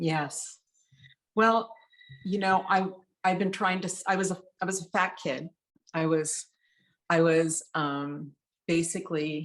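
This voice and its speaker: Using fairly even intonation, a woman at medium pitch speaks at a fairly slow pace with long, frequent pauses. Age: 60s. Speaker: interview guest sharing weight loss story. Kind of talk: casual interview chat. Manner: halting, many fillers.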